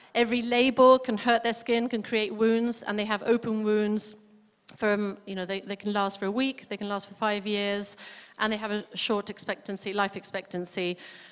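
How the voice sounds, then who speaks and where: At a moderate pace, a woman speaks with a fairly high pitch and monotone, flat intonation. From Spain. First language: Spanish. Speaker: charity worker. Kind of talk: charity presentation. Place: hall. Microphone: handheld.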